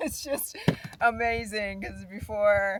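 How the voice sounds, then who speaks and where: The pace is very slow. It is a woman speaking. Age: 60s. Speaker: nurse and travel vlogger. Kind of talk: casual vlog chat. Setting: outdoors. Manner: halting.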